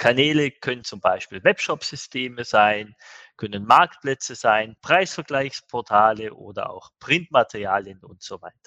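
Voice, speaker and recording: A man's bright, sharp, medium-pitched voice with lively intonation and big swings in loudness, fairly slow, in a dry, close sound with no echo. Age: 50s. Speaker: managing director of an e-commerce agency. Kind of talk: podcast interview.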